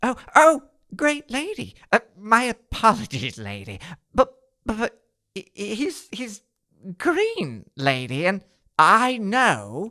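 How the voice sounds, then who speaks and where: Using a cartoonish character voice at a fairly high pitch, the speaker goes at a very slow pace with long, frequent pauses. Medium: puppet. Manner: blustering, then stammering.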